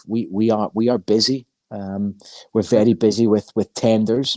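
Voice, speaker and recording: A man with a Scottish accent speaks at a medium pitch in a dark, mellow tone. His intonation is fairly even, and the sound is dry and close with no echo. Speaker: recruitment firm founder. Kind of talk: interview.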